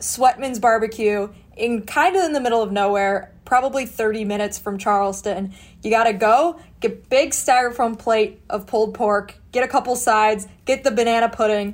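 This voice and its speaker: Delivered in an American accent, it is a plain, everyday voice with ordinary pitch variation. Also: woman, fairly high pitch for a woman, moderate pace. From Chicago suburbs. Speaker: sports journalist and podcast co-host. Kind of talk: casual chat, AMA.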